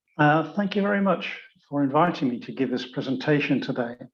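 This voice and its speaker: Lively intonation from a man in a British accent, fairly high pitch and moderate pace. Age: 70s. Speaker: dentist. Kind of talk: lecture.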